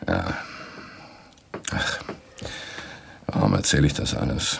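Using a put-on character voice, a man speaks at an extremely low pitch with vocal fry and a slightly husky edge. His intonation is lively and his pace is slow.

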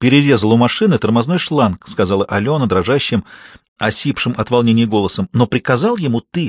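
Over a quiet background, someone is reading aloud in a natural voice with lively intonation.

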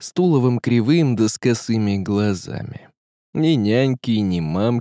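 Behind the unforced reading voice, the background stays quiet.

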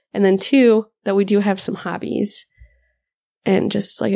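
In an American accent, a woman talks at a fairly slow pace, the sound dry and close with no echo. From Upper Midwest US (Minnesota, the Dakotas). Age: 20s. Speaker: podcast co-host, pregnant mother, wildlife biologist. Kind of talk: casual chat.

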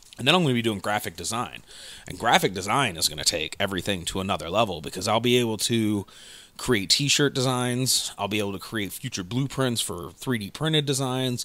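The voice moves along at a fairly quick pace, with lively intonation and a bright, sharp, animated tone. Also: man, medium pitch for a man. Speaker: podcast host. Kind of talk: casual banter, comedic chat. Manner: rambling, animated, joking.

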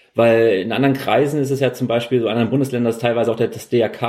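Talking at a very fast pace, a man has a medium pitch, a dark, mellow tone and fairly even intonation. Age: 30s. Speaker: podcast host. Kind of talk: interview.

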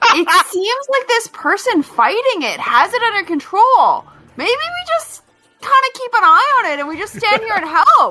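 At a moderate pace, a woman performs a put-on character voice in an extremely high pitch with big swings in loudness, faint music in the background. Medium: actual play. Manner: theatrical, exaggerated enthusiasm.

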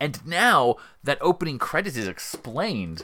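Vocal fry and very wide pitch swings come through in a very clean recording with a silent background. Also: man. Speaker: podcast co-host. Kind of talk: casual chat. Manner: playful, jokey.

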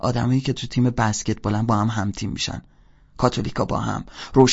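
This is someone reading aloud in a natural voice, with fairly even intonation throughout.

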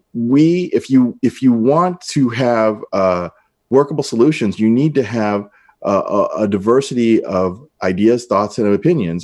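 A man with a normal speaking voice speaks at a medium pitch with lively intonation. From US Midwest, north St. Louis County, Missouri. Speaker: congressional candidate. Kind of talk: interview.

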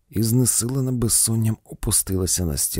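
Here is plain reading aloud with ordinary pitch variation.

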